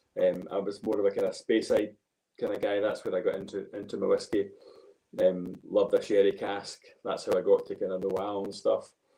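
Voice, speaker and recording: A man with a Glaswegian accent at a fairly quick pace. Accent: Glaswegian, milder than host's. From Scotland, Glasgow. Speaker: golf coach and whisky enthusiast. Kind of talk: casual chat.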